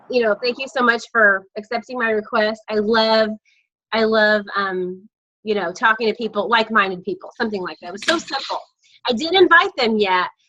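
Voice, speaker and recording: This is an ordinary speaking voice with lively intonation. The pace is fairly quick. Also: woman, fairly high pitch for a woman. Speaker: network marketing team leader. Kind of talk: casual group video call.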